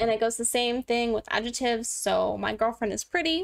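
Over a quiet background, a woman with a fairly high pitch speaks at a moderate pace with ordinary pitch variation. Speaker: livestreamer learning Korean. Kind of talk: casual live-streamed language lesson. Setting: live stream. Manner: casual, rambling. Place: home room.

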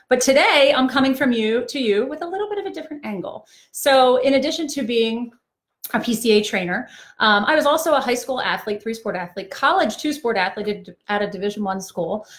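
Nothing much stirs in the quiet background. The speech has lively intonation. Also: woman, high pitch for a woman. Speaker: trainer. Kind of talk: live-stream talk to parents. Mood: warm, empathetic. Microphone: phone near.

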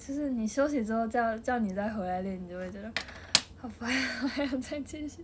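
A woman speaks at a fairly quick pace and a fairly high pitch against noticeable background noise. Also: ordinary pitch variation. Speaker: idol group member. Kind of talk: casual livestream chat. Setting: home livestream. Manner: animated.

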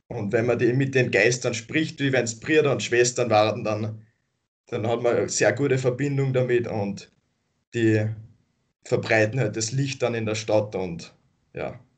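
Over a quiet background, a man talks at a fairly slow pace with long, frequent pauses, a somewhat breathy voice and fairly even intonation. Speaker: activist group member; interview guest. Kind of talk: interview. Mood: calm, friendly, smiling. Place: home room. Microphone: video call.

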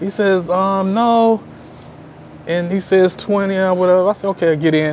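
A man with an American accent and a high pitch speaks at a moderate pace with ordinary pitch variation over light background noise. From Houston, Texas. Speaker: expat subscriber. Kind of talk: casual interview. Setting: at his apartment. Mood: relaxed, friendly. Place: street. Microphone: lapel.

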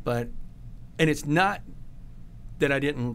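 There is light background noise as a man speaks with vocal fry and ordinary pitch variation. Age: 40s. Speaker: podcast host, realtor and Marine veteran; podcast guest. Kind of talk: interview. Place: studio. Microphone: studio mic.

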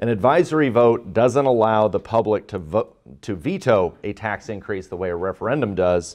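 The voice moves at a moderate pace against a quiet background. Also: man. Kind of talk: courtroom argument. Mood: earnest, formal. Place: hall.

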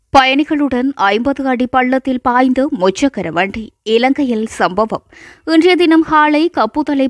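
A woman with a high pitch and ordinary pitch variation is heard in a dry, close sound with no echo. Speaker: news reader. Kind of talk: news bulletin reading.

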